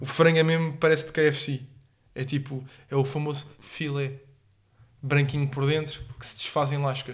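A somewhat breathy man's voice of fairly high pitch, in a monotone, flat intonation, with long, frequent pauses and big swings in loudness. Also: moderate pace. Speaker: podcast co-host. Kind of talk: casual chat.

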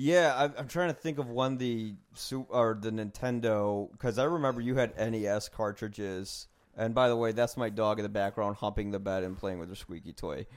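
Over a very clean recording with a silent background, a man with an American accent and an unremarkable speaking voice talks at a moderate pace and a medium pitch, using ordinary pitch variation and hardly any pauses. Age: 30s. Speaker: podcast host. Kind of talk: casual interview. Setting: at home.

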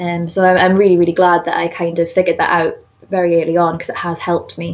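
A woman speaks at a very fast pace with a Geordie accent. Her fairly low voice stays monotone and flat. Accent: northern English, Geordie. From northern England. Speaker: zoologist and conservation researcher. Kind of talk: casual interview.

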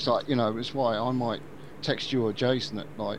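A man talks at a medium pitch and a moderate pace. He has a slight Birmingham accent. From Birmingham, England. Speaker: podcast host. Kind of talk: casual chat.

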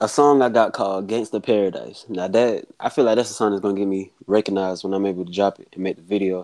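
A man with an American accent, fairly low in pitch, dark and mellow in tone, talking at a very fast pace. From South Carolina. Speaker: rapper. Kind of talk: casual interview.

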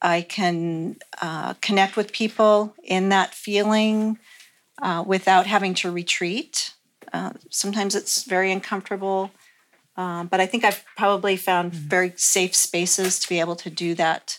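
This woman has a plain, everyday voice at a medium pitch. Her pace is fairly slow and her intonation fairly even. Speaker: panelist. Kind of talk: panel discussion.

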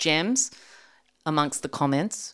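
A woman with an Australian accent talks with lively intonation. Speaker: storyteller guest. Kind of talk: storytelling in casual interview.

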